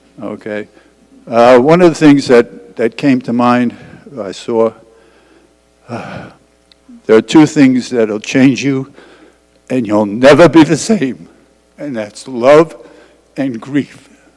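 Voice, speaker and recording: A man with a New York accent and medium pitch speaks at a very slow pace, with long, frequent pauses. His loudness swings widely while his pitch varies in an ordinary way. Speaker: widower sharing memories. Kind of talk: memorial testimony. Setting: church memorial service with audience. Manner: halting, stumbling.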